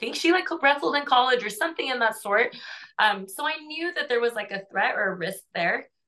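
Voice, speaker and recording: A woman talks at a fairly quick pace in a high-pitched, bright, sharp tone, her pitch swinging very widely. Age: 30s. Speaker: mixed martial arts fighter. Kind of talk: interview.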